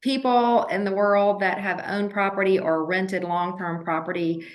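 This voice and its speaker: With an American accent, a woman speaks at a fairly slow pace amid audible room echo. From Georgia, US South (Athens). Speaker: real estate broker. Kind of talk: interview.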